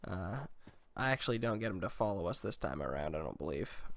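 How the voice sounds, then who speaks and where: A quiet man speaks at a fairly quick pace with lively intonation and vocal fry. The recording is very clean, the background silent. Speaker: gaming YouTuber. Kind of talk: gameplay commentary. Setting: home recording, dubbed commentary.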